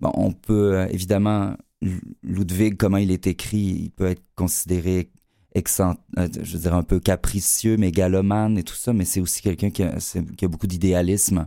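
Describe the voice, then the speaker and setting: Over a very clean recording with a silent background, a man with a very deep, low pitch and a dark, mellow tone speaks in a monotone, flat intonation at a moderate pace. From Quebec, Lac-Saint-Jean. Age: 40s. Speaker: actor. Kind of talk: interview.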